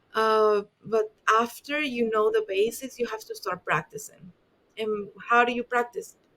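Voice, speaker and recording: Speaking with a strong Spanish accent, a woman uses a fairly high pitch. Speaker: dentist. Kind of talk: podcast interview. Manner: halting.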